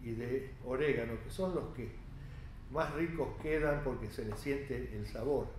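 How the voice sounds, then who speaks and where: There is audible room echo and light background noise as a man speaks at a fairly slow pace. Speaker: cooking instructor. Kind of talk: tutorial. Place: kitchen.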